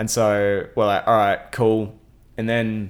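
A man speaks in an Australian accent at a fairly low pitch. The recording is very clean, with a silent background. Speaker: radio host. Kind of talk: casual interview chat. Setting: home. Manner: fast talker.

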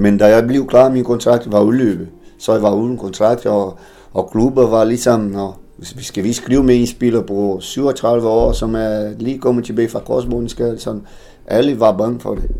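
A dark, mellow tone in a Portuguese accent, with fairly even intonation. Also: man, medium pitch for a man, fairly slow pace. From Brazil, Tocantins. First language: Portuguese (speaking Danish). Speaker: former professional footballer. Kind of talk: interview. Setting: café. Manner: halting, repeats words.

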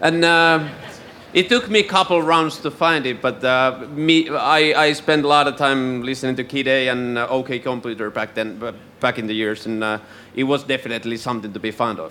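In a Finnish accent, a man speaks at a moderate pace and medium pitch with ordinary pitch variation. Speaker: radio host. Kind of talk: live interview. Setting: stage with audience.

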